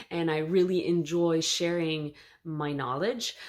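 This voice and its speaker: In a Quebec accent, a woman speaks with a very deep, low pitch and fairly even intonation. The recording is very clean, with a silent background. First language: French. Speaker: knitting youtuber and teacher. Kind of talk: casual vlog introduction. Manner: hesitant, with fillers.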